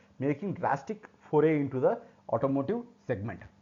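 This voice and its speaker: With an Indian accent, a man talks at a fairly quick pace. His pitch is fairly high and his tone dark and mellow. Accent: Indian English (Telugu). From South India, Telugu-speaking state. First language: Telugu. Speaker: technical instructor. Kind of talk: tutorial. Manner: halting.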